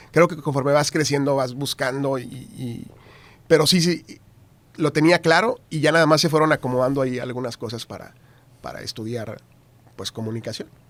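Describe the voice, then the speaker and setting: The speaker keeps a moderate pace and ordinary pitch variation, broken up by long, frequent pauses. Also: man, fairly high pitch for a man. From northern Mexico, Tamaulipas. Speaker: TV news anchor. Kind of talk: casual interview chat.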